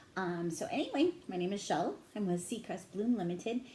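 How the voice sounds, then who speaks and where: A quiet voice with a dark, mellow tone and ordinary pitch variation. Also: woman. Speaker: tarot reader. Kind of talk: tarot reading monologue. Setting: home at midnight, headset. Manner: naturally loud voice; trying to talk quietly.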